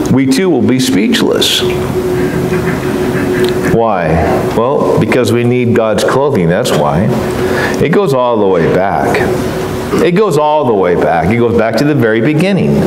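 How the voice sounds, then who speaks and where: With long, frequent pauses, a man talks at a fairly slow pace against noticeable background noise. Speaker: preacher. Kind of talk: sermon. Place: church.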